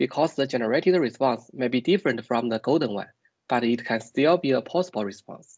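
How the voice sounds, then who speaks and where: Ordinary pitch variation marks a man's fairly quick delivery. Little else can be heard behind him, as the background is quiet. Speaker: PhD student researcher. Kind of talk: technical presentation. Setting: video call. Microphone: video call.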